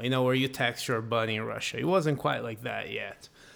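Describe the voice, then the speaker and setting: A man speaks with a Brazilian accent. Noticeable background noise can be heard. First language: Portuguese. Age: 30s. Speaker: professional metal guitarist. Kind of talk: casual interview chat.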